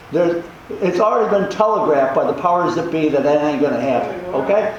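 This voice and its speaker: A man speaks at a high pitch with ordinary pitch variation. Noticeable background noise and audible room echo surround him. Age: 80s. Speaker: community meeting participant, charter commission member. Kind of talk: public meeting discussion.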